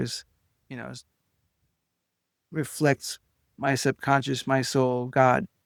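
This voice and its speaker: A man of medium pitch speaks with an Israeli accent in a dry, close sound with no echo, on a very clean recording with a silent background. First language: Hebrew. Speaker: clinical hypnotist and author. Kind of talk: interview conversation. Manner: halting, many fillers.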